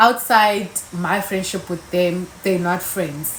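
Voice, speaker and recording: A woman's tone is animated, with noticeable background noise behind her. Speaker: YouTuber. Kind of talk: casual chat.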